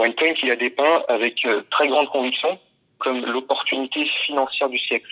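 At a moderate pace, a man holds a medium pitch, very even loudness, and fairly even intonation. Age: 20s. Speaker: scam victim. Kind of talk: testimony. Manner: halting.

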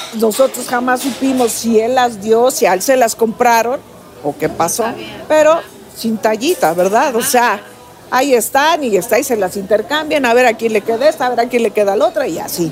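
Fairly high-pitched woman's speech in a Mexico City accent, at a moderate pace, with noticeable background noise. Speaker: retired footballer. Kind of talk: interview. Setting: cafe.

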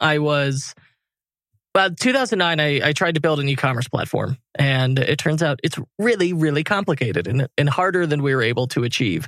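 At a moderate pace and very even loudness, a man with a fairly high pitch speaks in an unremarkable speaking voice, on a very clean recording with a silent background. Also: lively intonation. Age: 30s. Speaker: e-commerce agency owner and podcaster. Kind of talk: interview conversation.

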